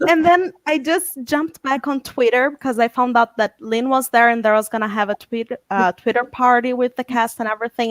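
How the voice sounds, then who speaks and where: Speaking with a non-native accent at a moderate pace, a woman uses a high pitch with ordinary pitch variation on a very clean recording with a silent background. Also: dry, close sound with no echo. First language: not English. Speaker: fan panel guest. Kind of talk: casual video chat.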